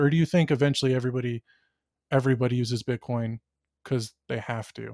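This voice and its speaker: A man is heard in a dry, close recording with no echo, very clean with a silent background. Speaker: podcast host. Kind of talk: casual podcast interview. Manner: talkative, jokey, often talks over co-host.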